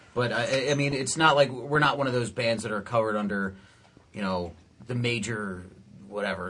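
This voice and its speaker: Audible room echo surrounds a man with an American accent and ordinary pitch variation. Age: 20s. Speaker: rock band guitarist. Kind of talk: casual interview chat.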